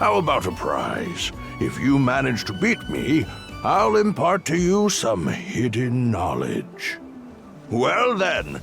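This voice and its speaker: A man speaks in a put-on character voice with clear music playing in the background. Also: fairly slow pace. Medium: machinima. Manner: warm, gently teasing.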